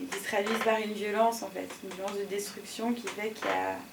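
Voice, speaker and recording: Noticeable background noise and audible room echo surround a voice speaking at a fairly quick pace in a monotone, flat way. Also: woman. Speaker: interviewee, fan of the channel. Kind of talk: casual interview. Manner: mumbling at times.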